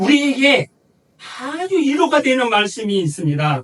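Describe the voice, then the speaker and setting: With very wide pitch swings, a man delivers his words at a fairly slow pace. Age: 60s. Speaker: pastor. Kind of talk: sermon.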